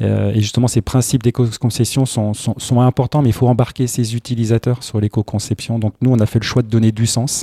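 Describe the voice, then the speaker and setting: A man's medium-pitched, dark and mellow, somewhat breathy voice in a flat monotone, fairly quick with hardly any pauses and very even loudness, dry and close with no echo on a very clean recording over a silent background. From Brittany. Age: 40s. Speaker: tech entrepreneur. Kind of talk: interview. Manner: halting.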